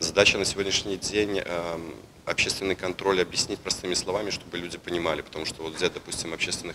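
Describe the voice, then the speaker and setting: A man talks in a very deep, low voice over noticeable background noise. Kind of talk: interview answer. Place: hall.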